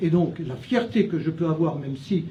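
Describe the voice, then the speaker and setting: In a room with audible echo, a man speaks with a fairly high pitch and a dark, mellow tone. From France, Châlons-en-Champagne (Champagne). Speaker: retired teacher, municipal candidate. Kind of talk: candidate self-introduction. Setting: restaurant, live event. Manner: halting, many hesitations.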